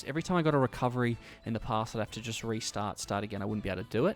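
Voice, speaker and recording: A man is speaking. Music plays in the background. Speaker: gaming YouTuber. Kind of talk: gameplay commentary. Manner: fast.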